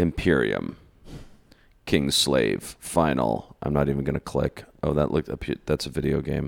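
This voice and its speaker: Speaking at a moderate pace, a man with a very deep, low pitch uses vocal fry and fairly even intonation. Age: 40s. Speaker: podcast host. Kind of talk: casual chat.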